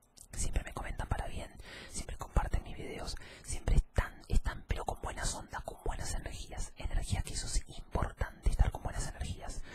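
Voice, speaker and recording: A man is whispering. He goes at a moderate pace. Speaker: ASMR content creator. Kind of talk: casual vlog chat. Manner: soft-spoken close-mic ASMR voice. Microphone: studio mic.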